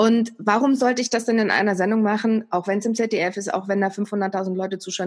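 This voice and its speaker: A woman talks at a medium pitch in an ordinary speaking voice. Her pace is fairly quick, her intonation fairly even, with hardly any pauses. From East Germany. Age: 40s. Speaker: TV and radio presenter. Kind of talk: casual interview.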